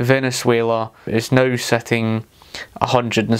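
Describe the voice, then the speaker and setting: A man with a Scottish accent speaks at a medium pitch in a monotone, flat intonation. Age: 30s. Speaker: political commentator. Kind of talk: video commentary. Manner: hesitant, many fillers.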